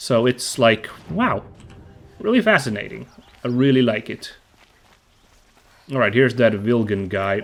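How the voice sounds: Lively in intonation and nasal, a man at a medium pitch talks at a fairly slow pace with long, frequent pauses.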